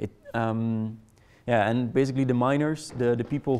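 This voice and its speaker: A man with a Dutch accent speaks in a dark, mellow tone at medium pitch, with fairly even intonation. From Netherlands. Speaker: conference presenter. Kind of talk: presentation to a live audience. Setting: room with live audience. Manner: hesitant, many fillers and repetitions.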